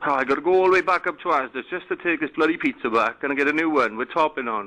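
With a Welsh accent, a man speaks at a very fast pace in a bright, sharp tone with ordinary pitch variation. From Wales. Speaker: complaining customer caller. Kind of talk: prank phone call. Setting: phone line. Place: home room. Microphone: phone line.

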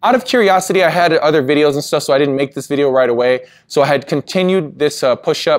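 A man speaks fairly quickly. Nothing is heard behind him. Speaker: fitness coach. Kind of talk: casual vlog chat. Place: gym.

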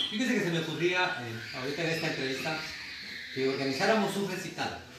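A man talks very fast amid loud background noise and audible room echo. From Guatemala. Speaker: radio host. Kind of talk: interview, casual conversation. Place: home room. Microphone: camera far.

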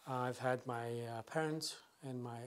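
A man speaks with a Middle Eastern accent. His intonation stays fairly even. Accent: non-native, Middle Eastern. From northern Iraq, Sinjar. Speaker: former military interpreter, immigrant. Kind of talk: interview answer. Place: home room.

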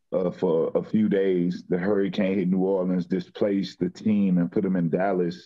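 Over a quiet background, a man with an American accent talks at a very deep, low pitch and a fairly slow pace. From Houston, Texas (Third Ward); Texas. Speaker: professional football player; guest. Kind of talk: interview. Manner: casual, halting with fillers. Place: home room. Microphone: video call.

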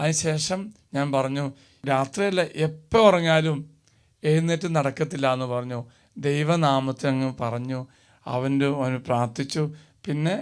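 In a very clean recording with a silent background, a man with an unremarkable speaking voice talks at a fairly high pitch with ordinary pitch variation. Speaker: priest. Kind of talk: sermon.

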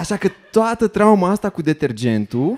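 A man talks at a moderate pace with lively intonation. Light background noise sits behind him. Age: 30s. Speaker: stand-up comedian. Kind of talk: stand-up comedy monologue. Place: stage. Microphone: handheld.

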